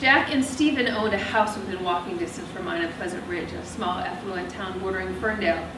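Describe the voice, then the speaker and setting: Over noticeable background noise, a woman of medium pitch speaks at a fairly quick pace with ordinary pitch variation and hardly any pauses. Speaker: author and narrator. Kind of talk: first-person novel narration. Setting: live theatre.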